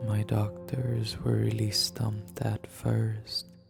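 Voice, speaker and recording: Music plays in the background as the voice moves at a very slow pace. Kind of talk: horror story narration. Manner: whispered.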